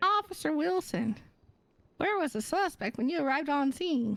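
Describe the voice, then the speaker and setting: A woman's put-on character voice, high-pitched with very wide pitch swings, at a moderate pace and very even loudness. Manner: funny.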